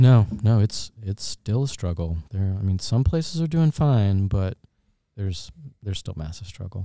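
Dry and close with no echo on a very clean recording with a silent background, a man's voice has a dark, mellow tone, a fairly low pitch and a moderate pace. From North Carolina (Fayetteville), raised in Augusta, Georgia. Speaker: restaurant owner and musician. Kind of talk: casual interview. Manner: relaxed, uses many fillers.

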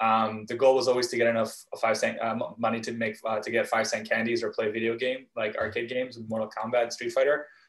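In a Canadian accent, a man talks at a fairly quick pace and medium pitch with monotone, flat intonation. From Vancouver, Canada. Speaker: startup founder. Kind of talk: interview.

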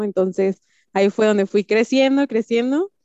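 A woman talks at a moderate pace in an ordinary speaking voice. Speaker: entrepreneur. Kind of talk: casual chat.

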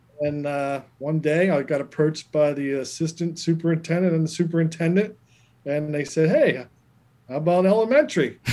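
Here is a man with an unremarkable speaking voice at a fairly high pitch. He keeps a fairly quick pace and fairly even intonation. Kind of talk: casual interview. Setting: video call.

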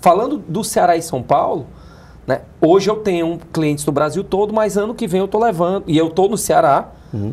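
A man talks at a moderate pace in a high pitch. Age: 40s. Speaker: business accelerator founder. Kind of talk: interview. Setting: studio.

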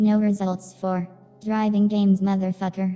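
This put-on robotic character voice sits at a middle pitch and moves at a moderate pace in a flat monotone, with faint music behind it.

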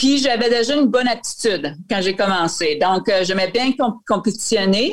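On a very clean recording with a silent background, a woman with an ordinary speaking voice talks at a moderate pace, fairly high in pitch and with lively intonation. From Acadia, northwestern New Brunswick (Saint-Quentin). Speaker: retired Olympic cross-country skier. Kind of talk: interview.

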